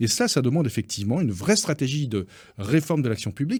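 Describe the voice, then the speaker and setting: On a very clean recording with a silent background, a man talks at a fairly quick pace. His fairly high, somewhat breathy voice swings very widely in pitch. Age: 60s. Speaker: business federation president. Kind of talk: radio interview.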